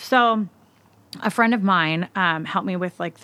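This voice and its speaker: At a moderate pace, a woman with an American accent speaks at a fairly low pitch in a bright, sharp tone with ordinary pitch variation, on a very clean recording with a silent background. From US Pacific Northwest, Seattle. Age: 30s. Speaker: hairstylist and nonprofit founder. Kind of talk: casual interview chat. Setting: podcast recording.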